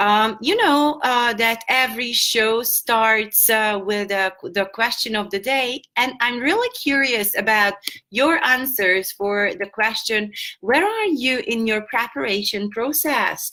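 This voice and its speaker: Speaking very slowly with very even loudness, a woman with a Hungarian accent has a bright, sharp tone, a fairly high pitch and ordinary pitch variation. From Hungary. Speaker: English teacher. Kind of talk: online lesson. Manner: halting.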